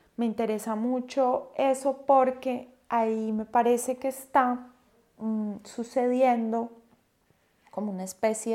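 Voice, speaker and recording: Speaking at a very slow pace, a woman has a fairly high pitch. Her intonation is monotone and flat. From Colombia. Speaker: poet. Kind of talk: interview.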